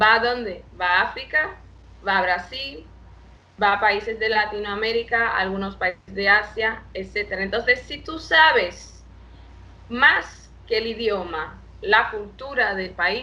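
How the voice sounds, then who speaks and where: A woman at a very slow pace, with ordinary pitch variation and audible room echo. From Brazil, Salvador de Bahia. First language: Portuguese (speaking Spanish). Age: 20s. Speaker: international relations professional. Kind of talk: interview. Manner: halting.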